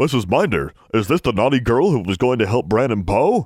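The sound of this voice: A man speaks in a put-on character voice at a medium pitch. The recording is very clean, with a silent background. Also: fairly quick pace.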